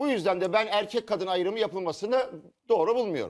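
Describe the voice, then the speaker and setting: In a very clean recording with a silent background, a man speaks in an animated tone. His voice is high and his pace fairly quick. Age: 60s. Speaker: TV panelist. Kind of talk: studio panel discussion.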